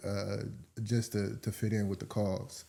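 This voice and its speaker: A man's fairly low, dark, mellow voice with a relaxed tone, monotone, flat intonation and a moderate pace, on a very clean recording with a silent background. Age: 20s. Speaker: podcast guest. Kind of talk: casual interview chat. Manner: relaxed, many fillers.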